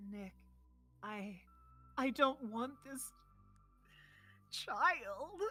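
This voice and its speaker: A soft-spoken, put-on character voice, female-sounding and fairly high-pitched, over music in the background. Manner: serious, soft spoken.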